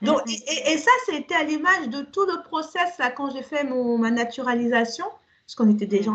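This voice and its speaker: A woman speaks in a high pitch with lively intonation. Her pace is fairly slow. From Cameroon (Yaoundé), then France from age 9. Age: 40s. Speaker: podcast guest. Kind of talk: casual chat.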